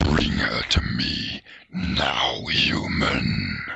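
A man's put-on character voice, raspy and very deep in pitch. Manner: commanding, demanding.

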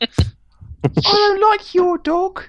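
Using a squeaky, put-on character voice, a woman talks at an extremely high pitch.

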